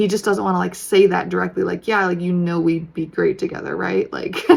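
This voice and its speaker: The speaker is a woman with a fairly quick delivery. There is noticeable noise behind her. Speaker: tarot reader. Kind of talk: tarot reading monologue. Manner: fast; casual, many fillers.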